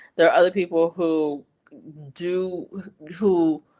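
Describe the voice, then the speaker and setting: This is a woman speaking. Her pitch is fairly low. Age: 60s. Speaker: livestream host. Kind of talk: casual chat. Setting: live stream. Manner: halting.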